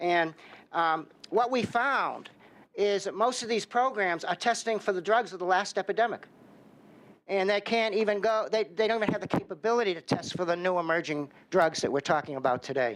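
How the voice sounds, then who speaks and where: Fairly quick pace and ordinary pitch variation, in a Boston accent. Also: man, high pitch for a man. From Boston, Massachusetts. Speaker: drug research center director. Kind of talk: testimony. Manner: halting, with many fillers.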